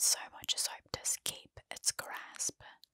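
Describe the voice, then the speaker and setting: A soft-spoken woman whispers in a dry sound with no echo against a quiet background. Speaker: storyteller. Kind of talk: narrated horror story reading. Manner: soft close-mic whisper. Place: home room. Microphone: studio mic.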